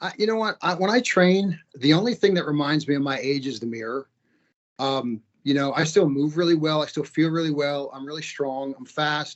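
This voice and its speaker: A man speaks in a plain, everyday voice with a fairly high pitch. His pitch varies in an ordinary way, and his pace is moderate. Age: 50s. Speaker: martial arts fighter and school owner. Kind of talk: interview.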